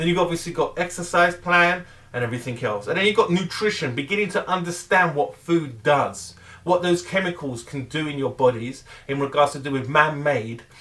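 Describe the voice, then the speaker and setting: Talking at a fairly quick pace, a man with a fairly high pitch uses lively intonation against noticeable background noise. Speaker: weight loss vlogger. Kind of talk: motivational rant. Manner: loud; animated.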